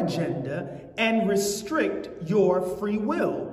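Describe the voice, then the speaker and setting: A man is speaking. Audible echo from the room surrounds his voice. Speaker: preacher. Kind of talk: sermon. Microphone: lapel.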